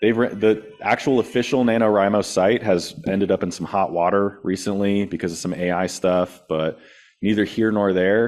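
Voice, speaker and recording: Over a quiet background, a man talks at a moderate pace. His pitch is fairly low and his intonation fairly even. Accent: Californian. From California. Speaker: thriller author, guest speaker. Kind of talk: presentation Q&A. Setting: meeting room with live and Zoom audience. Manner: casual, conversational.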